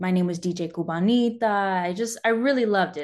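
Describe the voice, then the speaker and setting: A woman's normal speaking voice at medium pitch, with ordinary pitch variation and a moderate pace against a quiet background. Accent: American. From California. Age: 20s. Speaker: former military broadcast journalist. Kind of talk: interview.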